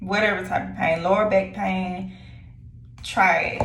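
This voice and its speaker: Woman at a moderate pace, with audible room echo and noticeable background noise. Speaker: lifestyle vlogger. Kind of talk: casual vlog chat. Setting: at home. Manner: hesitant with many fillers.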